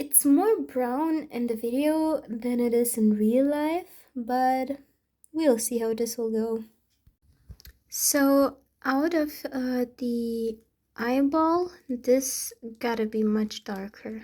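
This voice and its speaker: A woman with a non-native accent talks at a very slow pace. Her pitch is high, yet the tone is dark and mellow. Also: ordinary pitch variation. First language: not English. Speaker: amateur painter. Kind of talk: tutorial. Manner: hesitant, many fillers.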